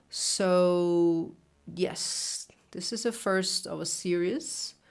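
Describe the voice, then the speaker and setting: A woman with a Brazilian Portuguese accent speaks at a very slow pace. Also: medium pitch for a woman, ordinary pitch variation. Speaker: reader and commentator. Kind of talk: casual reflection. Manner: halting.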